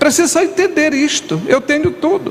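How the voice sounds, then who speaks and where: Over noticeable background noise, a man speaks at a fairly slow pace. His voice is extremely high-pitched, with lively intonation. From northern Brazil, Tocantins river region (Imperatriz, Maranhão). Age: 60s. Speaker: pastor. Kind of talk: sermon.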